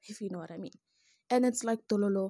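Over a quiet background, a woman speaks in a dark, mellow tone that is somewhat breathy, with lively intonation. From South Africa. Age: 20s. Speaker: podcast host. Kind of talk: solo monologue podcast. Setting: home recording with echo.

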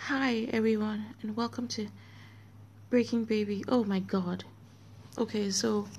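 Very slowly and somewhat breathily, a woman speaks with fairly even intonation and long, frequent pauses. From Nigeria. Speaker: podcast host. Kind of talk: casual monologue. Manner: halting.

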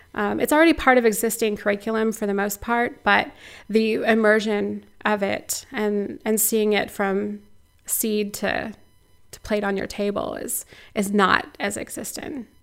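In a very clean recording with a silent background, a woman with an American accent speaks at a fairly slow pace and fairly high pitch, her intonation fairly even but her loudness swinging widely. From US Midwest, Missouri. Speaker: local food nonprofit director. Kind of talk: interview. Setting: outdoors at an orchard.

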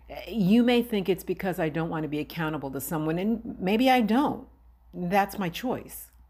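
Moderate pace, lively intonation, and a normal speaking voice. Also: woman. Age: 50s. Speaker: podcast host. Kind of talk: personal monologue.

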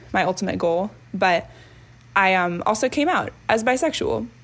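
This woman talks with an American accent at a moderate pace and a medium pitch. She has an ordinary speaking voice. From US, northern Virginia. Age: 20s. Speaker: college student and dancer. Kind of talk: personal testimony. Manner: casual with frequent fillers.

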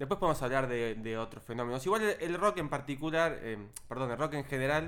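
Very fast and with lively intonation, a man speaks at a medium pitch. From southern Greater Buenos Aires, Argentina. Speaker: podcast co-host. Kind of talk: casual chat.

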